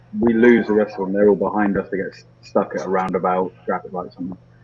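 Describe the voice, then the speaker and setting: A man with a British accent speaks over noticeable background noise. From UK. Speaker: motorcycle rider, video creator. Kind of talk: casual chat.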